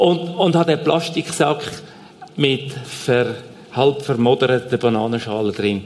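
There is noticeable background noise. A man speaks at a medium pitch with ordinary pitch variation. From Switzerland, Zurich Oberland. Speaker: aid organization leader. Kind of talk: church stage interview. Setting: church stage.

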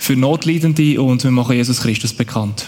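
There is noticeable background noise as a man talks. He keeps a moderate pace with ordinary pitch variation. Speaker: aid organization worker. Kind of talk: church stage interview.

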